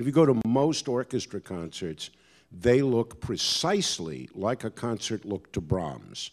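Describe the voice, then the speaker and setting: Over a very clean recording with a silent background, a man with a fairly low voice swings his pitch very widely. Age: 60s. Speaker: orchestra executive panelist. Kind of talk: panel discussion.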